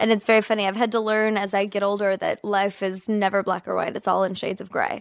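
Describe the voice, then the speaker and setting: Against a quiet background, a woman with a slight Midwestern accent talks at a very fast pace in a monotone, flat intonation. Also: medium pitch for a woman, hardly any pauses. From Kansas City, US Midwest. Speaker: actress. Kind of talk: casual interview chat.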